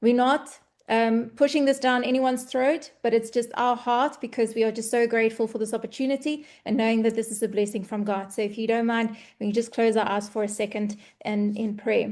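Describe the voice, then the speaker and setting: Against a quiet background, a woman with a South African accent talks at a fairly quick pace, her fairly high pitch held in fairly even intonation. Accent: Afrikaans South African English. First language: Afrikaans. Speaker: online business presenter. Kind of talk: webinar presentation.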